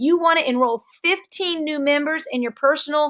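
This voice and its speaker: The voice belongs to a woman. Its pitch moves up and down in an ordinary way. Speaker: network marketing team leader. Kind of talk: sales training webinar. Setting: webinar. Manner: fast; animated.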